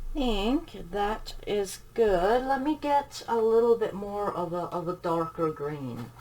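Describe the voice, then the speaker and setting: Someone soft-spoken talks at a very slow pace. Noticeable background noise is present. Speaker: coloring channel creator. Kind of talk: tutorial.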